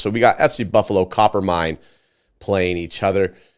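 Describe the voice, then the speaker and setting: A man's very deep, low voice with vocal fry, on a very clean recording with a silent background. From Scotland. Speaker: soccer show host. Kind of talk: casual chat.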